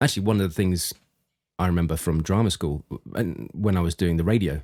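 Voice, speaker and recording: In a very clean recording with a silent background, a man with a very deep, low pitch and a dark, mellow tone talks at a fairly quick pace and very even loudness. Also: ordinary pitch variation. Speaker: podcast host, voice coach. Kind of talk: casual chat. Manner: relaxed, less articulated than usual.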